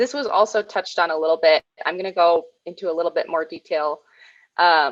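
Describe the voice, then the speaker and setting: Recorded with a dry, close sound with no echo in a quiet background, the voice moves at a fairly quick pace with ordinary pitch variation. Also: woman, fairly low pitch for a woman. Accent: American. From Red Cliff, northern Wisconsin. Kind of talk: presentation.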